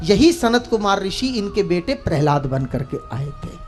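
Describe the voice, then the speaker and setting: There is music in the background as a man speaks. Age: young. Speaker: religious storyteller. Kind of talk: religious discourse.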